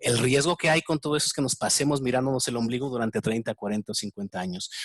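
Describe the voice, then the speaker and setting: A medium-pitched man talks at a very fast pace with lively intonation, the sound dry and close with no echo. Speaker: interviewer, enneagram expert. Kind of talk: interview. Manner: halting, repetitive fillers.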